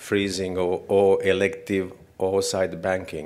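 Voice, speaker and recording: With a non-native accent, a man speaks at a fairly low pitch. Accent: foreign. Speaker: fertility doctor and professor. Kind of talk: conference lecture. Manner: halting.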